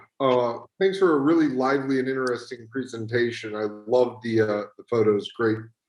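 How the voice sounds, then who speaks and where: In a room with audible echo but a quiet background, a man with an American accent talks at a moderate pace and a medium pitch. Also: ordinary pitch variation. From United States. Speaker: audience member. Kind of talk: audience question. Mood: polite, curious. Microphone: video call.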